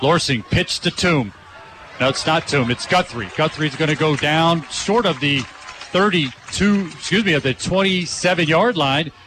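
Amid noticeable background noise, a man speaks at a fairly slow pace with very even loudness and ordinary pitch variation. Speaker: play-by-play announcer. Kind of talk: live sports commentary.

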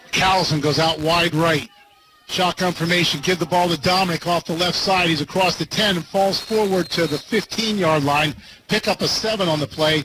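The speech moves at a moderate pace with very even loudness. Noticeable background noise sits behind it. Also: man, high pitch for a man. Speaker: play-by-play radio announcer. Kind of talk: live play-by-play sports commentary. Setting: stadium broadcast booth. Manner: energetic but even-toned, matter-of-fact.

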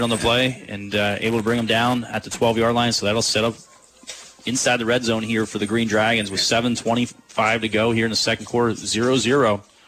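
Over noticeable background noise, a man with a medium pitch and a relaxed tone speaks in a flat monotone. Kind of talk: live sports commentary. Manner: conversational analyst, relaxed, filler-heavy.

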